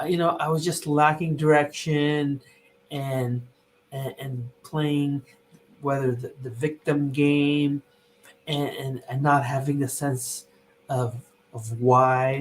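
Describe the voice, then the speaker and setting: A man's fairly high, somewhat breathy voice, monotone and flat, very slow with long, frequent pauses. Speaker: company CEO and podcast host. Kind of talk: casual chat.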